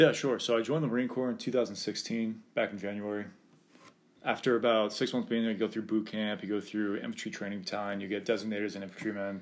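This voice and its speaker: Very fast and fairly even in intonation, a man with an American accent speaks at a fairly low pitch. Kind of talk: casual interview.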